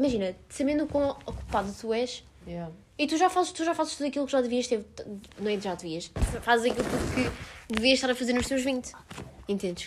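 Against noticeable background noise, a woman with a high pitch talks at a fairly quick pace with lively intonation. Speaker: podcast guest. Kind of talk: casual chat.

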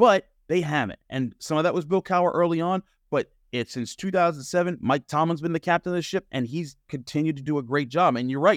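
A man with an ordinary speaking voice talks at a fairly high pitch. His pace is fairly quick, with ordinary pitch variation. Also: very clean recording, silent background. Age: 30s. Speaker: sports journalist and podcast host. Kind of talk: podcast interview.

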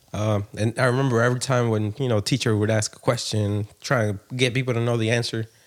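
At a very fast pace, a man with an American accent speaks in a monotone, flat intonation. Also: medium pitch for a man, hardly any pauses. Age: 30s. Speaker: podcast co-host. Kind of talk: casual chat.

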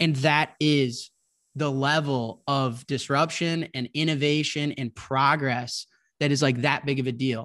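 An unremarkable speaking voice from a man with an American accent, fairly high in pitch, fairly even in intonation and fairly slow in pace, on a very clean recording with a silent background. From Chicago. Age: 20s. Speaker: bitcoin entrepreneur. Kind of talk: casual interview.

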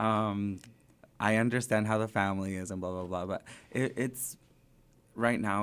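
A man speaks at a moderate pace in a normal speaking voice, his pitch fairly low and his intonation fairly even. The recording is very clean, with a silent background. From southern California, raised in Springdale, Arkansas. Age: 20s. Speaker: drag performer. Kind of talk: casual interview chat.

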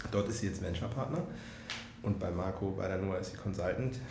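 A man with a fairly low pitch and ordinary pitch variation speaks at a fairly quick pace. Noticeable background noise and audible room echo surround him. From northern Germany, Hannover. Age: 30s. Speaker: startup founder and software executive. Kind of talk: interview. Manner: hesitant, many fillers.

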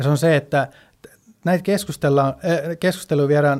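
A man with fairly high pitch and fairly even intonation. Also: very clean recording, silent background. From Sweden. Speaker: finance professional. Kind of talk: casual chat. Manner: halting.

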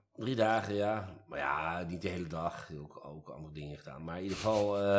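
A man's very deep, low pitch at a moderate pace, with ordinary pitch variation. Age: 50s. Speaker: employment lawyer. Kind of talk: casual chat. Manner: halting.

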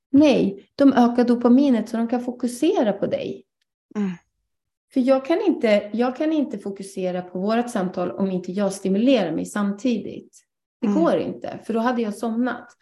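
Here is a woman with an unremarkable speaking voice and a fairly high pitch. She talks at a moderate pace with ordinary pitch variation. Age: 30s. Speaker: ADHD coach. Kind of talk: guest lecture in online live session. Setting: online live broadcast.

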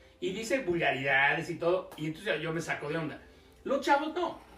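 A man speaks at a very fast pace, his pitch high for a man and his intonation lively. Room echo is audible, and background noise is noticeable. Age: 50s. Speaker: nightlife business expert and speaker. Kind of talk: casual interview chat.

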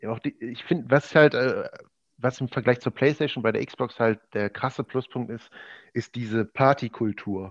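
Heard dry and close with no echo, a man with an unremarkable speaking voice talks at a moderate pace with ordinary pitch variation. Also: medium pitch for a man. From Ruhr area, Germany (Oberhausen). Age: 20s. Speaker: esports gamer, basketball video game league champion. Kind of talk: casual podcast interview.

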